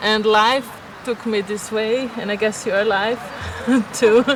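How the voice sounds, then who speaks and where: Speech comes at a fairly slow pace in a Portuguese accent over noticeable background noise. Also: woman. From Brazil. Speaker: vlogger. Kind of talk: casual chat. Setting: outdoors. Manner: halting.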